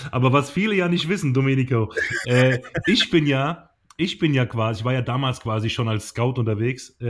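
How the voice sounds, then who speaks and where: On a very clean recording with a silent background, a man speaks at a fairly quick pace in a somewhat breathy, medium-pitched voice with ordinary pitch variation. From southern Germany. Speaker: podcast co-host, former handball goalkeeper. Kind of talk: casual chat. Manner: hesitant, many fillers.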